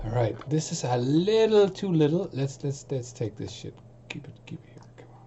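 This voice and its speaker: Loud and moderately paced, this man's speech comes through. His pitch sits fairly high. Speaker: music producer streaming. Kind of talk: casual live stream chat. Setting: home studio live stream. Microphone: distorted sound, voice too loud.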